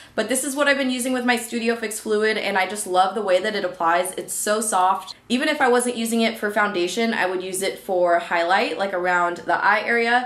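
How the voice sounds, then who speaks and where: Against noticeable background noise, a woman talks at a fairly quick pace and fairly high pitch, with ordinary pitch variation and hardly any pauses. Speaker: beauty youtuber. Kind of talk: monthly favorites product review to camera. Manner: fast; chatty, filler-heavy.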